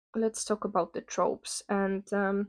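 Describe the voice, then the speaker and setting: This is a woman speaking at a medium pitch. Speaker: book reviewer. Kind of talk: rant. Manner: hesitant, many fillers.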